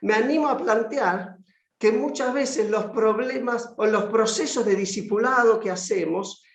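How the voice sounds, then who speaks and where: A man speaks with a Buenos Aires accent at a fairly slow pace. Audible room echo colors the recording. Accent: Buenos Aires Spanish (porteño). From Argentina, Buenos Aires. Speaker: conference speaker on discipleship. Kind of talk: lecture.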